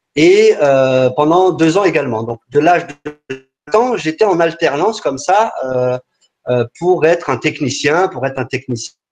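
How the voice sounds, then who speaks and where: A man with lively intonation and a fairly high pitch talks fairly slowly, music playing in the background. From France, Paris region. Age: 40s. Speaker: entrepreneur. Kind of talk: webinar talk. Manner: halting, many fillers and repetitions.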